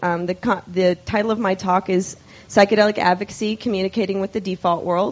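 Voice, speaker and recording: With an unremarkable speaking voice, a woman talks at medium pitch with fairly even intonation. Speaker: scientist and psychedelic advocate. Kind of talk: lecture. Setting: stage with audience.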